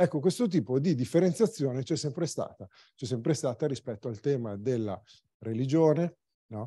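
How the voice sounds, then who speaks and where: Somewhat breathy, a man's fairly high voice has a dark, mellow tone. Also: lively intonation, moderate pace. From Varese province, northern Italy. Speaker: cycling magazine publisher. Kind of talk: presentation talk.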